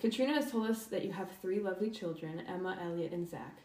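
A woman races along very fast in a medium pitch, her pitch variation ordinary, while noticeable background noise plays behind her. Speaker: student podcast host. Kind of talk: interview.

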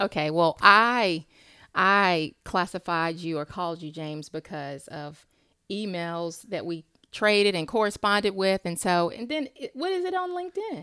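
On a very clean recording with a silent background, a woman speaks at a moderate pace with a bright, sharp tone and a medium pitch that has ordinary variation. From Charlotte, North Carolina. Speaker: podcast host. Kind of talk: interview.

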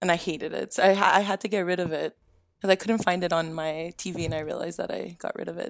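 The speech comes at a very fast pace with vocal fry. Intonation stays fairly even. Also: woman, fairly low pitch for a woman. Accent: Canadian. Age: 20s. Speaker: gaming podcast panelist. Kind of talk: casual chat. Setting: video call.

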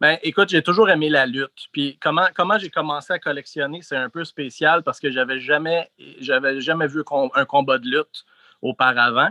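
Here is a man with an unremarkable speaking voice and a fairly high pitch. His pitch varies in an ordinary way at a moderate pace. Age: 40s. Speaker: wrestling figure collector. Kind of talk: casual interview.

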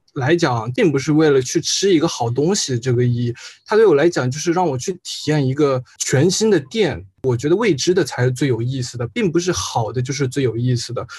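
At a fairly quick pace, a man speaks with lively intonation. His voice is fairly high and somewhat breathy. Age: 20s. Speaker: university student. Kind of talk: casual chat.

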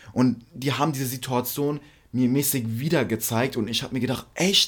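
A man with a plain, everyday voice, a medium pitch and a moderate pace. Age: young. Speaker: podcast co-host. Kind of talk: casual chat.

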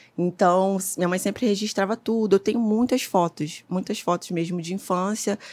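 The recording is very clean, with a silent background. A woman speaks in an unremarkable speaking voice at medium pitch and a moderate pace, with ordinary pitch variation. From Rio de Janeiro, Complexo do Alemão favela. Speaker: photographer and image archivist. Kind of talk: casual interview.

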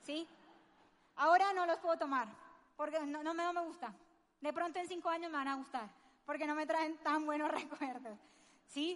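With a high pitch and ordinary pitch variation, a woman talks at a moderate pace with long, frequent pauses. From Colombia. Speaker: network marketing speaker. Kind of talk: motivational seminar talk.

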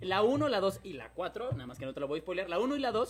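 A man's animated voice with very wide pitch swings at a fairly quick pace, amid noticeable background noise. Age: 30s. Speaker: podcast host. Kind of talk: casual chat. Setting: live stream.

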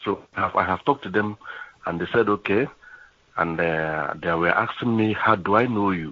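A man with an ordinary speaking voice talks at a moderate pace, his fairly low pitch moving with ordinary variation. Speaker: scammer on phone. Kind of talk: phone call, scammer pitch. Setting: phone call.

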